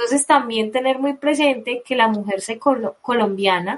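The woman speaking has lively intonation. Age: 20s. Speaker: nurse. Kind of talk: radio interview.

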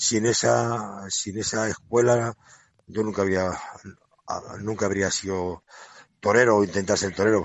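This man's voice sits fairly low in pitch. His intonation stays fairly even. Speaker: retiring banderillero. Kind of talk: interview. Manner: halting.

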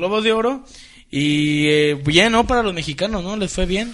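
At a moderate pace, a man with a high pitch talks with lively intonation amid audible room echo. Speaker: internet radio show host. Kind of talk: casual chat.

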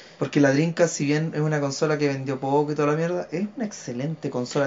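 At a very fast pace, a man in a Chilean accent talks with a fairly high pitch and fairly even intonation. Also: hardly any pauses. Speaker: podcast co-host, illustrator. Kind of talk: casual chat.

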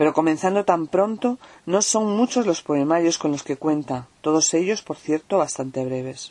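Using lively intonation, a woman with a fairly low pitch and a dark, mellow tone speaks at a moderate pace. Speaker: poet reading her work. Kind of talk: poetry reading.

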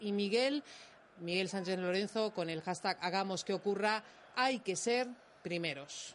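A woman's normal speaking voice, medium in pitch, with ordinary pitch variation at a moderate pace. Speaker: radio presenter, reads listener messages. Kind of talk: casual excited chat. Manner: excitable, emotional.

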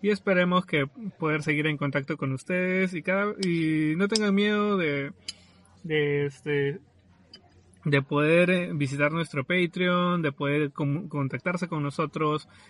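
Speaking very slowly, a man uses a fairly high pitch with ordinary variation. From Peru, southern Lima. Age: 20s. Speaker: podcast host, architect. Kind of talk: casual chat. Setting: remote recording from separate locations.

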